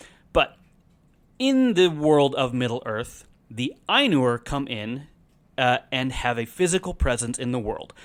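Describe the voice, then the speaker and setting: At a fairly slow pace, a man with a Midwestern American accent talks at a medium pitch with ordinary pitch variation, on a very clean recording with a silent background. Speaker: podcast host. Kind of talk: casual explainer monologue.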